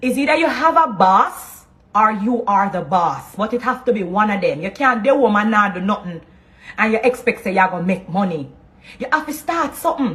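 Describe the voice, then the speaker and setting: At a moderate pace, a woman speaks in a fairly high pitch. Her voice makes very wide pitch swings. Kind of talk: motivational talk.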